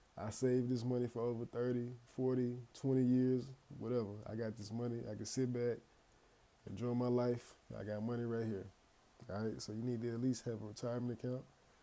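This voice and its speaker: Dark, mellow tone at a fairly quick pace, with long, frequent pauses and monotone, flat intonation. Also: man, medium pitch for a man. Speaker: finance YouTuber. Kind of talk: casual tutorial. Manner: occasional stutter; casual, conversational.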